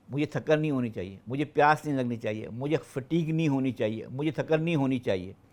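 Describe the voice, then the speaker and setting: On a very clean recording with a silent background, the speech runs with hardly any pauses. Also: man, fairly high pitch for a man, ordinary pitch variation. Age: 60s. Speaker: retired senior civil servant. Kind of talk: podcast interview. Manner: halting.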